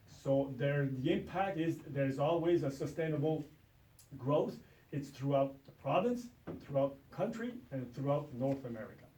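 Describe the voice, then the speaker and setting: The voice moves at a moderate pace with ordinary pitch variation, and room echo is audible. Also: man, fairly high pitch for a man. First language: French. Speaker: ATV club representative. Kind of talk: presentation to town council. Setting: town council meeting room. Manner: halting with many fillers.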